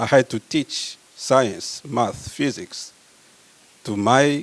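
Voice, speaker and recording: A man speaks with a Congolese accent. His pitch varies an ordinary amount. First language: French. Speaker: medical researcher. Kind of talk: conference talk.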